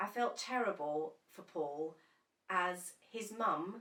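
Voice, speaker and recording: A woman's fairly low voice with a bright, sharp tone and an English accent. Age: 60s. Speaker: bereaved partner. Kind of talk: personal testimony.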